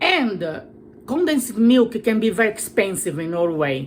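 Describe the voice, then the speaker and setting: A woman's medium-pitched voice in a Brazilian accent, fairly slow, with lively intonation. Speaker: cooking vlogger. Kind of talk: cooking tutorial. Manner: halting, many fillers.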